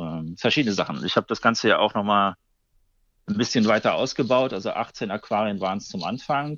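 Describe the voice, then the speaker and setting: A man speaks at a fairly quick pace in a fairly low pitch, his intonation lively. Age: 30s. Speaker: aquarium club chairman. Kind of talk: casual interview. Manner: hesitant, many filler sounds.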